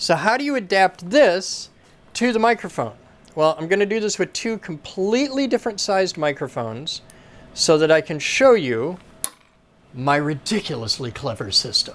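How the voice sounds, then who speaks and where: This man's voice is high for a man, moving at a moderate pace through very wide pitch swings. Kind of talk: tutorial. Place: workshop. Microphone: lapel.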